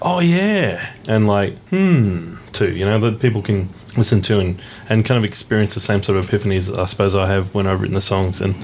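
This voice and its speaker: With an Australian accent, a man speaks at a fairly quick pace in a fairly low voice with ordinary pitch variation. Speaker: singer-songwriter. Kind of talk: radio interview. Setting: radio studio. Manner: casual, hesitant with fillers.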